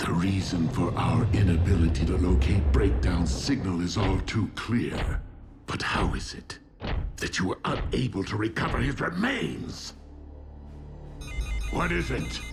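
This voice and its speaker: A man puts on a cartoonish character voice with a very deep, low pitch, leaving long, frequent pauses over clear background noise. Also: moderate pace. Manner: cold, commanding.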